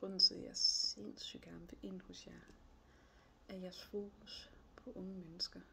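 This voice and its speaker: Amid noticeable background noise, a woman speaks at a fairly slow pace. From northern Jutland, Denmark (Aalborg area). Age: 30s. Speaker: job applicant. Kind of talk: job application video monologue. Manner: hesitant, many fillers.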